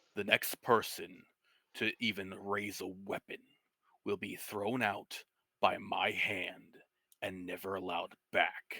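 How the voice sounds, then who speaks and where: Putting on a gruff, booming character voice, a man speaks at a fairly slow pace in a fairly low pitch. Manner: commanding, stern.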